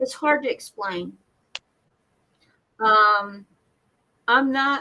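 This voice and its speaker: Speaking very slowly with an American accent, a woman uses a bright, sharp tone at a fairly high pitch with ordinary pitch variation. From Seattle, US Pacific Northwest. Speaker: viewer joining the stream. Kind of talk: casual chat. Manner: halting.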